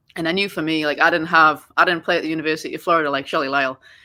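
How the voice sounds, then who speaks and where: A woman with an American accent speaks with a fairly low pitch and a bright, sharp tone. Her intonation is fairly even, and the recording is very clean with a silent background. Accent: Geordie English with a bit of American twang. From northern England, Newcastle. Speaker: soccer coach. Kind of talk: podcast interview. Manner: casual, many fillers.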